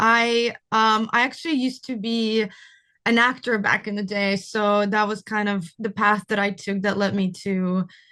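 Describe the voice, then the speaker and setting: A woman with a Russian accent speaks fairly slowly in a bright, sharp tone, her pitch fairly high and her intonation fairly even, over a quiet background. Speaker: cinematographer. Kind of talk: interview.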